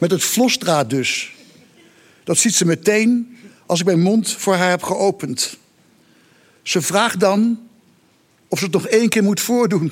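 Speaking at a very slow pace with long, frequent pauses, a man uses a high voice. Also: ordinary pitch variation, very even loudness. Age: 60s. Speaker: writer. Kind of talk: reading aloud. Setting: stage with audience.

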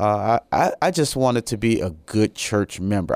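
With an American accent, a man speaks in an unremarkable speaking voice at a fairly low pitch with ordinary pitch variation, on a very clean recording with a silent background. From US Midwest, Chicago. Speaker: pastor. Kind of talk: radio interview.

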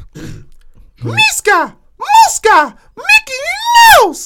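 Extremely high pitch in an affected character voice. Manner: cartoonish, playful.

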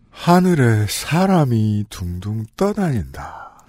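Pitched low-to-middle, this put-on character voice moves at a very slow pace. Its pitch swings very widely.

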